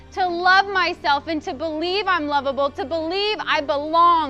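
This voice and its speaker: With music in the background, a woman uses a raised, projected voice at a moderate pace, keeping her intonation fairly even. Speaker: motivational speaker; psychologist. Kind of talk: motivational talk to students.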